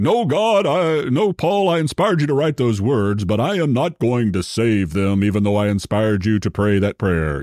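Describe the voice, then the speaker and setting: In a very clean recording with a silent background, a man uses a put-on character voice at a moderate pace. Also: fairly low pitch for a man. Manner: solemn, authoritative.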